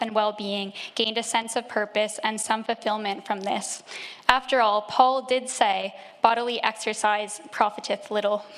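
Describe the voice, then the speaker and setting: A woman speaks at a moderate pace with a fairly high pitch. Her intonation is monotone and flat, and there is noticeable background noise. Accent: Canadian. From Canada, Nova Scotia. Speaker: church member being baptised. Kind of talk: testimony. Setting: church.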